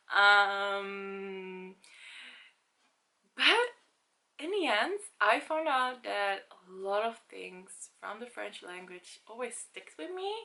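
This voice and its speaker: Very slow speech from a woman with a Dutch accent, long, frequent pauses and big swings in loudness, over a quiet background. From Netherlands. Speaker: language-learning vlogger. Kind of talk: casual vlog talk.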